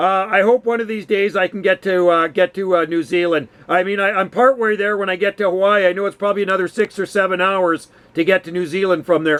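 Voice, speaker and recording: A man with a high pitch speaks at a very fast pace with hardly any pauses and fairly even intonation, in a dry, close sound with no echo. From western Canada. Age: 50s. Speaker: radio hobbyist. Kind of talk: casual chat. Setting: radio call.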